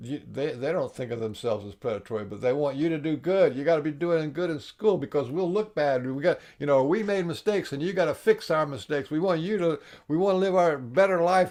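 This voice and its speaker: Against a quiet background, the speech goes at a very fast pace with lively intonation. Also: man. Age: 70s. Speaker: workshop teacher on emotional healing. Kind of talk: interview conversation. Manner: halting, many repetitions.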